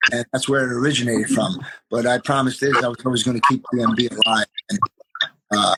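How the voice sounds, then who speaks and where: Talking at a very fast pace in a New York accent, a man with a medium pitch has a bright, sharp tone, recorded with a dry, close sound and no echo. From New York, Queens. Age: 50s. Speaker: graffiti artist. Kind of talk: interview.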